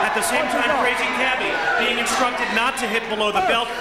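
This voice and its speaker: The speech moves at a fairly quick pace. Loud background noise sits behind it. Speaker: ringside fight commentator. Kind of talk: live blow-by-blow boxing commentary.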